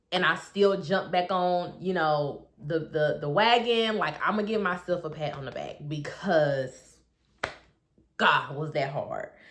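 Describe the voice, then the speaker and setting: Audible room echo surrounds a woman with a fairly low pitch. She talks at a fairly slow pace with ordinary pitch variation. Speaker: health and weight loss coach. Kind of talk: casual vlog update. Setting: bedroom at home. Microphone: echoey room, no proper mic.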